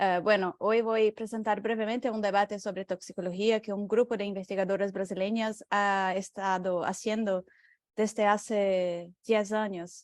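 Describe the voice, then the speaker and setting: A woman with a Portuguese accent and medium pitch talks at a moderate pace in monotone, flat intonation, recorded dry and close with no echo over a quiet background. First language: Portuguese (speaking Spanish). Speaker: researcher. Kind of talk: lecture. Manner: halting, many fillers.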